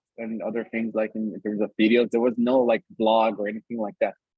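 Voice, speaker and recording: A man with a Brazilian accent at a fairly quick pace. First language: Brazilian Portuguese. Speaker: community lead and author. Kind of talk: online workshop conversation.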